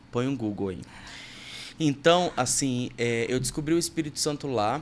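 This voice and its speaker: An ordinary speaking voice from a man, medium-pitched, with ordinary pitch variation at a moderate pace. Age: 30s. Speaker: podcast host and worship music producer. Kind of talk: casual interview chat.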